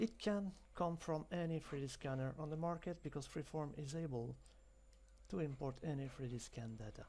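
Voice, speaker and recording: A man with a dark, mellow tone and fairly high pitch talks at a moderate pace with lively intonation. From France. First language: French. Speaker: software demonstrator. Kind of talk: tutorial.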